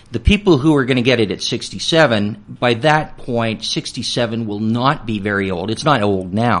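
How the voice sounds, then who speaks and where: At a moderate pace, a man talks in an ordinary speaking voice with medium pitch and ordinary pitch variation. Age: 60s. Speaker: retirement planning speaker. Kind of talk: radio interview.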